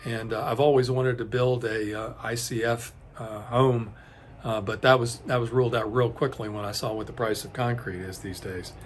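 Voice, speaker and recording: A man speaks at a moderate pace in a monotone, flat way, his loudness swinging widely. Audible room echo surrounds him. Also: medium pitch for a man. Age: 60s. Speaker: home building video host. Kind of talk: casual tutorial talk to camera. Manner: hesitant, many fillers and restarts.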